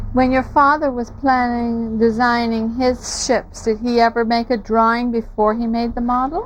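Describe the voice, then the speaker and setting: With noticeable background noise, a woman talks at a moderate pace in a high pitch and a monotone, flat intonation, with hardly any pauses. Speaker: oral history interviewer. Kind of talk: interview questions.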